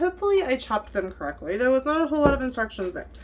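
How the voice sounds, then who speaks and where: A woman talks with very wide pitch swings. Noticeable background noise is present. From Kansas. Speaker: cooking vlogger. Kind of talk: cooking tutorial. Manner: casual.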